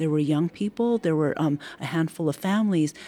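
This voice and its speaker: A woman with a Californian accent speaks at a fairly low pitch in a dark, mellow tone with ordinary pitch variation. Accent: Californian American English. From San Francisco. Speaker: heritage foundation executive director. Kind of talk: interview about community history. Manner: hesitant with fillers.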